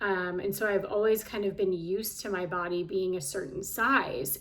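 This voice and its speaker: A woman's voice with fairly even intonation at a moderate pace, over noticeable background noise. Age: 40s. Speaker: health and life coach. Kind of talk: casual vlog monologue. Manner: conversational with frequent fillers.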